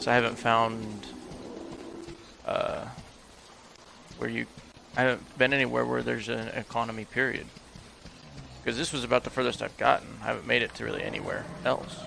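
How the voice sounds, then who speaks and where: A soft-spoken man talks at a fairly quick pace with long, frequent pauses. There is noticeable background noise. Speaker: game streamer. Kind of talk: live gameplay commentary.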